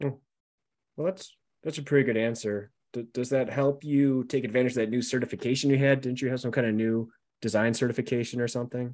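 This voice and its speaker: A man of medium pitch speaks at a very fast pace with fairly even intonation against a quiet background. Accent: Buffalo. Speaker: podcast host. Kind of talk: casual interview chat.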